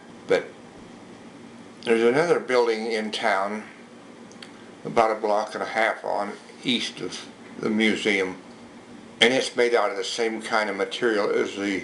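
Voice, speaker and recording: With an American accent, a man talks at a moderate pace in fairly even intonation, leaving long, frequent pauses amid noticeable background noise and audible room echo. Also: fairly low pitch for a man. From rural Utah, US. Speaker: local museum owner. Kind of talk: oral history interview. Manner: halting.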